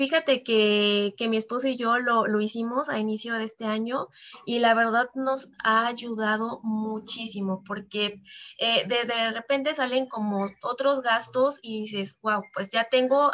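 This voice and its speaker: The tone here is bright and sharp. Delivery is fairly slow, with fairly even intonation. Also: woman. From Mexico, Veracruz. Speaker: financial advisor. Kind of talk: podcast interview.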